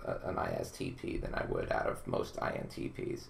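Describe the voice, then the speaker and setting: A man is speaking here. Noticeable background noise and audible room echo are present. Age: 20s. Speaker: personality typing consultant. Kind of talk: casual interview conversation. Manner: halting with repeated words.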